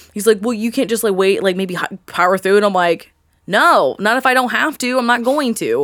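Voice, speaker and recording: In a Southern California accent, a woman talks at a fairly quick pace with a fairly high pitch. The recording is very clean, with a silent background. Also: ordinary pitch variation. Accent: sounds Valley Girl. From Indiana, Newcastle area. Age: 20s. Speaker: podcaster. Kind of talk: casual chat.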